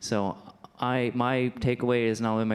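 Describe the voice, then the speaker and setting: A man talks at a moderate pace with fairly even intonation and a medium pitch. Noticeable background noise is audible. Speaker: outreach worker for homeless people. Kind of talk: town hall comments. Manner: halting, many fillers.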